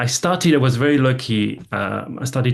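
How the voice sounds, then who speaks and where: In a French accent, a man speaks at a medium pitch. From France. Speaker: gaming industry executive. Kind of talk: investment presentation talk. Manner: halting, many repetitions and fillers.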